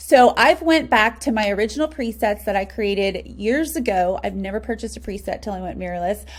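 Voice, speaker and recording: A woman with an American accent talks at a fairly quick pace with hardly any pauses. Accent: slight country. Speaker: wedding photographer. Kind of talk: tutorial. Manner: casual, filler-heavy.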